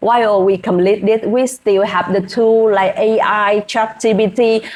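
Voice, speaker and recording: With a Vietnamese accent, a woman speaks fairly slowly in a flat monotone. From Vietnam, rural village. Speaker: hospitality worker and English-learning vlogger. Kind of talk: casual vlog. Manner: halting, with fillers.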